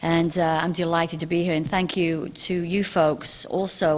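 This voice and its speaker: A woman with a British accent at a moderate pace, fairly low in pitch, with monotone, flat intonation. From England. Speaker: UFO author and TV host. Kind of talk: public talk. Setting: stage with audience. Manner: hesitant, many fillers.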